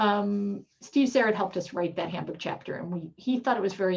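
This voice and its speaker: Somewhat breathy, a woman speaks at a fairly quick pace with ordinary pitch variation. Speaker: professor. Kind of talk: lecture. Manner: fast.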